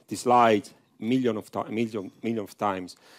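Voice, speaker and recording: At a moderate pace, a man with a strong Italian accent talks in a medium-pitched voice. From Italy. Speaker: professor. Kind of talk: conference talk. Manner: halting, many fillers.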